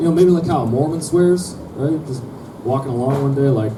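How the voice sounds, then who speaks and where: A fairly high-pitched man with an American accent at a moderate pace, with noticeable background noise and audible room echo. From Minnesota, small town. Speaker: comedian. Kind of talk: stand-up. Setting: stage with audience.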